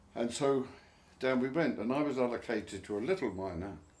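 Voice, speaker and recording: Here is a man in an Essex accent. He talks at a fairly quick pace. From Barking, Essex, England. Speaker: war veteran. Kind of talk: interview answer.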